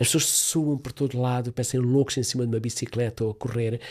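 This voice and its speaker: A somewhat breathy man at medium pitch, fairly quick in pace, with fairly even intonation. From Africa, Portuguese-speaking. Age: 70s. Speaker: therapist. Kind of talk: interview.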